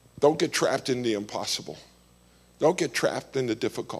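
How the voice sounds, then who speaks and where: Vocal fry paired with very wide pitch swings. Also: man. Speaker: missions leader and guest preacher. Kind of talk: sermon. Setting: church.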